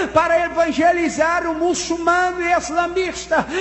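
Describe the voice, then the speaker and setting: Over noticeable background noise and audible room echo, a man talks in an extremely high pitch with monotone, flat intonation. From Colombia. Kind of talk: church testimony.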